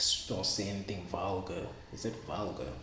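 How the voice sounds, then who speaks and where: A soft-spoken man with a Zulu accent talks in a very deep, low voice with ordinary pitch variation. Noticeable background noise and audible room echo fill the recording. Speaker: vlogger. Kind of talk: casual vlog monologue. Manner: halting, repetitive.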